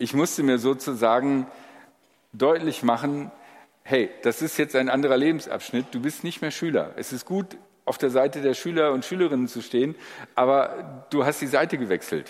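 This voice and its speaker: At a moderate pace, a man talks in a plain, everyday voice, fairly high-pitched with ordinary pitch variation, captured in a very clean recording with a silent background. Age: 60s. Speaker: pastor. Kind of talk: sermon.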